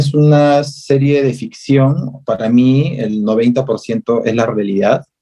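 Music can be heard behind the speech. The man delivers his words very slowly. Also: hardly any pauses. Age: 30s. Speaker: visual artist and activist. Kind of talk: interview.

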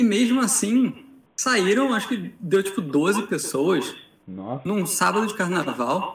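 Very slowly, a man talks in a high pitch with lively intonation. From Rio de Janeiro. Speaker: tournament organizer and judge. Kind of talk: casual chat.

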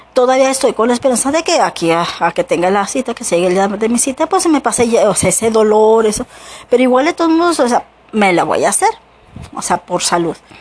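The speaker rattles along at a very fast pace with very wide pitch swings. Noticeable background noise runs underneath. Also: woman, fairly high pitch for a woman. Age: 40s. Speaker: podcaster. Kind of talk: personal monologue. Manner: halting.

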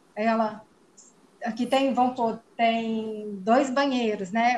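Somewhat breathy, a woman speaks at a very slow pace in a fairly high pitch. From Minas Gerais, Brazil. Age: 40s. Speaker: biologist. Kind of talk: testimony.

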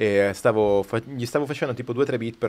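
The man's voice comes through on a very clean recording, the background completely silent. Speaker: guest, music producer and rapper. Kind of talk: casual chat, live podcast. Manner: enthusiastic.

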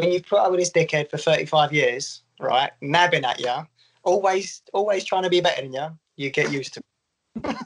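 Pitch varies in an ordinary way as the speech runs at a fairly quick pace. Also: man, high pitch for a man. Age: 30s. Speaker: golf social media creator. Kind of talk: casual chat.

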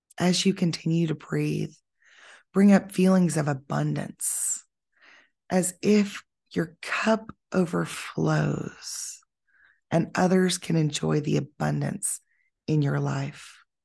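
A woman speaks very slowly in a soothing, calm tone, with long, frequent pauses. The background is quiet. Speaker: podcast host and yoga teacher. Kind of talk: guided meditation. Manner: slow, soothing, calm; gentle, measured, with pauses.

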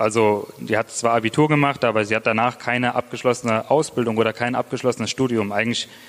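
A man talks at a very fast pace with fairly even intonation. Noticeable background noise runs under his voice. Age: 20s. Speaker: church planter. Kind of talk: testimony. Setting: church.

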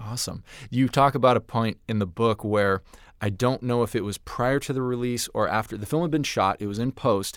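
A man talks at a fairly quick pace in an unremarkable speaking voice. His pitch is medium with ordinary variation. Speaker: podcast host. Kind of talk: casual interview.

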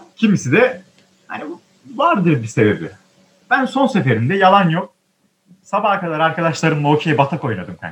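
A high-pitched man at a moderate pace, with very wide pitch swings and long, frequent pauses. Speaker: theatre student podcaster. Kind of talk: casual chat. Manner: animated.

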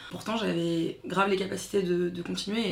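Amid noticeable background noise and audible room echo, a woman with a fairly low pitch talks with monotone, flat intonation. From France, Paris suburbs (Seine-Saint-Denis). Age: 30s. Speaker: activist, daughter of Congolese immigrant. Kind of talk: casual interview.

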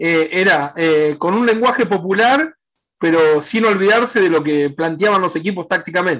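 Set against a quiet background, the talking proceeds at a moderate pace. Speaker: sports journalist. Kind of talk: interview. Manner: halting.

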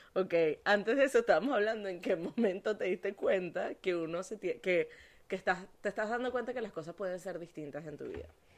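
A woman talks very fast in an animated tone, her pitch medium with ordinary variation. Her loudness swings widely. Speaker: podcast host and life coach. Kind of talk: casual chat.

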